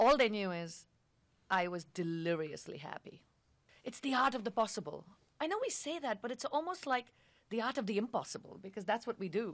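Her fairly high voice making very wide pitch swings, a woman talks at a fairly quick pace. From India. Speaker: advertising agency executive. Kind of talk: casual chat.

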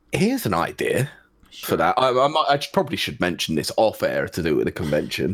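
A British accent at a fairly quick pace, on a very clean recording with a silent background. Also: man. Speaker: co-host video game reviewer. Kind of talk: casual chat.

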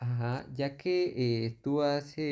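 A man speaks in a fairly high pitch. His tone is dark and mellow. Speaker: student interviewer. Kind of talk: interview. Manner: halting.

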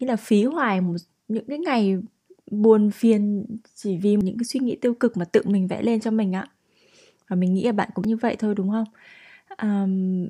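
Somewhat breathy and dark, mellow in tone, a woman speaks at a moderate pace and fairly high pitch with ordinary pitch variation and long, frequent pauses. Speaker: podcast host. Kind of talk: solo podcast monologue.

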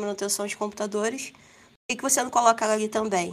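A woman's very fast speech with fairly even intonation. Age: 30s. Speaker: back-end developer. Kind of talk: casual panel discussion.

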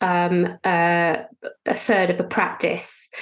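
The recording is very clean with a silent background, and the speech moves at a very slow pace. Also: woman. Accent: British. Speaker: financial planner. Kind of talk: interview, conversational.

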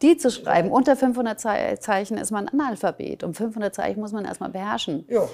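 With lively intonation and hardly any pauses, a woman speaks through vocal fry. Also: fairly high pitch for a woman, moderate pace. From Germany, Nuremberg. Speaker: podcast host. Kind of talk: scripted intro; interview.

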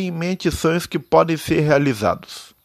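This man talks fairly slowly. His pitch is fairly high. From Brazil, interior of São Paulo state. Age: 20s. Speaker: amateur podcaster. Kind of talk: personal monologue. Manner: halting.

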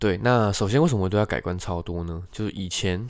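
In a very clean recording with a silent background, a man speaks with a very deep, low pitch. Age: 20s. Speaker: podcast host. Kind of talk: casual solo monologue.

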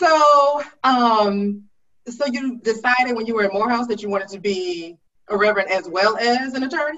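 Speaking at a moderate pace, a woman has a normal speaking voice, a fairly high pitch and ordinary pitch variation. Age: 40s. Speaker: talk show host, writer and storyteller. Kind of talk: interview.

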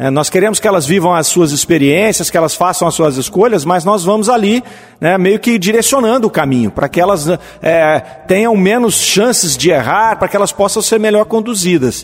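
A man talks at a moderate pace with a high pitch and very even loudness. Noticeable background noise sits behind him. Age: 50s. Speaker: spiritist radio program host. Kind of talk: lecture-style commentary on spiritist texts. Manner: halting, with fillers.

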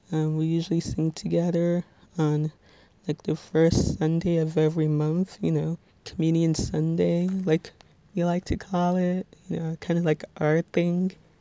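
A soft-spoken woman with an American accent talks at a fairly slow pace and fairly low pitch. Her tone is dark and mellow, her intonation monotone and flat. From New Jersey, Bergen County. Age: 20s. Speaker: student podcaster. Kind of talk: casual monologue.

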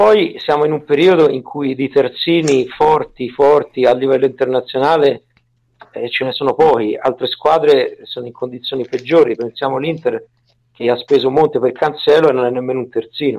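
This man speaks with a strong Tuscan accent at a fairly high pitch. His pace is moderate and his intonation fairly even. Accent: heavy Tuscan. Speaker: football analyst. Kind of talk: casual chat.

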